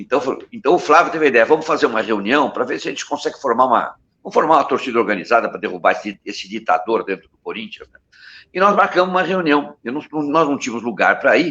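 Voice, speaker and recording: Very fast and bright, sharp in tone, a man's voice swings very widely in pitch and carries vocal fry. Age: 70s. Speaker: advertising man, supporters' group founder. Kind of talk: interview, personal history. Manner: halting, many false starts.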